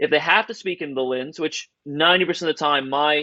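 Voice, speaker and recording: A man with an American accent talks at a fairly quick pace in a bright, sharp tone. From Southern Ohio. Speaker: videographer and director. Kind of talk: networking Q&A.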